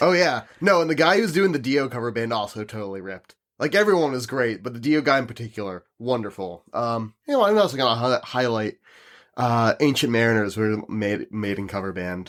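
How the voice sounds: A man speaks at a medium pitch with a fairly bright tone, lively intonation and a fairly quick pace. The recording is very clean, with a silent background.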